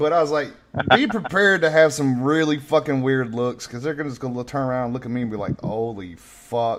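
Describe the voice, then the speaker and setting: A man talks at a fairly quick pace, his medium pitch rising and falling in an ordinary way. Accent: Southern. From North Carolina. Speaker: podcast host. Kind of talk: casual chat. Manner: loud.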